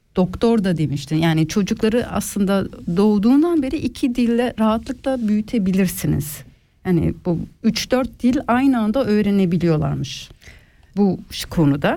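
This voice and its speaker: A woman's medium-pitched voice, dark and mellow, at a moderate pace with very wide pitch swings and very even loudness. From Switzerland, Ticino then German-speaking part. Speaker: radio host. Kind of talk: casual chat.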